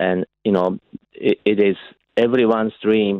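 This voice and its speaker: The man speaks at a fairly low pitch with monotone, flat intonation. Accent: Japanese. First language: Japanese. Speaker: golf association chief executive. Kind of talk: radio interview.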